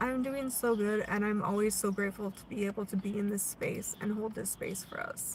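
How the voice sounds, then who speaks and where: With an American accent, a woman talks at a fairly quick pace with hardly any pauses, her medium pitch held in fairly even intonation. Noticeable background noise runs behind her. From US Pacific Northwest, Oregon. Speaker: spiritual livestream host. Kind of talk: spiritual live stream chat. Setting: live stream. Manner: casual, conversational.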